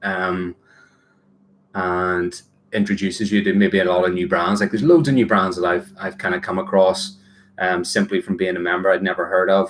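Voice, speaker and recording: The speaker has a Northern Irish accent. The pace is moderate and the intonation fairly even. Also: man, very deep, low pitch for a man. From Northern Ireland. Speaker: watch collector and YouTuber. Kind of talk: casual livestream chat. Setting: livestream. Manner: relaxed, hesitant with many fillers.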